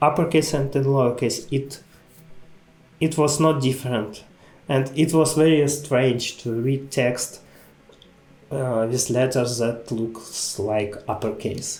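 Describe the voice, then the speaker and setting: Over music in the background, a man with a non-native accent speaks very slowly. His pitch is fairly high and his intonation fairly even. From Ukraine. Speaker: type designer. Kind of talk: conference lecture.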